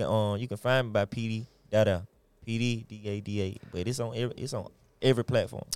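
A man with an American accent talks at a very fast pace, his pitch medium and his intonation fairly even. The recording is very clean, with a silent background. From Atlanta, Georgia. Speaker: rapper. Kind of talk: casual interview.

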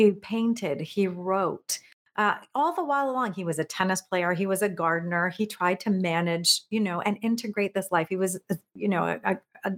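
A woman with an unremarkable speaking voice talks at a moderate pace in a medium pitch, with ordinary pitch variation. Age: 50s. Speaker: productivity coach and keynote speaker. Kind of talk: interview conversation.

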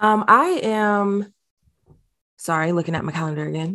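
In a very clean recording with a silent background, a woman speaks at a moderate pace with ordinary pitch variation in a plain, everyday voice. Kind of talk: casual chat.

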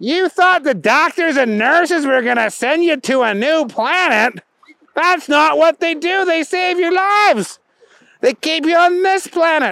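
The speaker uses a put-on character voice pitched high. The pace is moderate. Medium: read story.

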